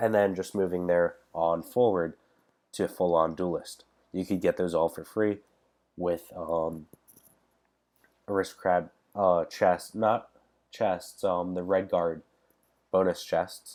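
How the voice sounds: A man with a low pitch, slightly mellow and nasal tone, slow pace, fairly even intonation, and long, frequent pauses.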